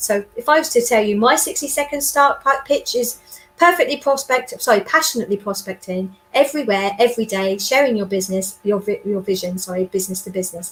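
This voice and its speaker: Against noticeable background noise, a woman talks at a fairly quick pace, medium in pitch with ordinary variation. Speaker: sales trainer and business development consultant. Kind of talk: interview. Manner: loud; animated.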